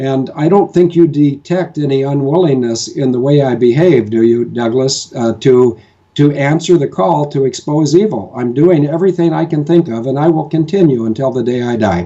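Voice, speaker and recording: A man with an American accent speaks at a moderate pace, his pitch fairly high with ordinary variation. He has an ordinary speaking voice. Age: 60s. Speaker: military advocate. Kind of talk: interview discussion. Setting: home kitchen.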